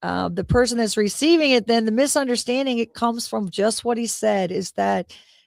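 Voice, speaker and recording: A woman with a plain, everyday voice speaks at a moderate pace, her pitch fairly high. The sound is dry and close with no echo, in a very clean recording with a silent background. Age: 50s. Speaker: motorcycle club founder. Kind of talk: radio talk show interview. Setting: live internet radio show.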